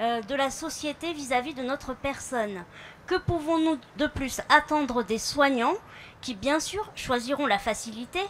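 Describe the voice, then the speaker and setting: Her high pitch and lively intonation come with big swings in loudness as this woman talks at a fairly slow pace. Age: 30s. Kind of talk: public speech. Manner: halting, with fillers.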